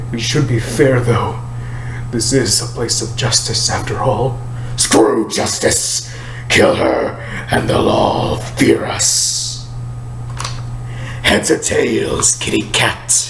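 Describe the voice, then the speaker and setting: A man in a put-on character voice speaks at a very slow pace against loud background noise. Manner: menacing.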